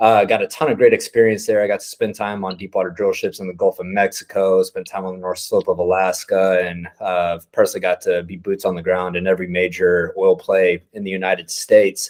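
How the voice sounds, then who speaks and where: A man with a Texan accent, fairly quick and with hardly any pauses. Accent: Texan American. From Texas, Midland. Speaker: oilfield entrepreneur. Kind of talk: informal talk to a group. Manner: casual, unscripted.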